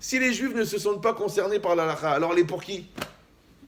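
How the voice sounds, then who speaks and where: Speaking at a moderate pace in a high pitch, a man sounds animated, with lively intonation and audible room echo. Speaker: rabbi. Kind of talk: lecture.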